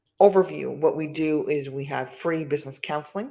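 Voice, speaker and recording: A woman speaks at a fairly quick pace with vocal fry. Her pitch is very deep and low. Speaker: nonprofit business advisor. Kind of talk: presentation. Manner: fast.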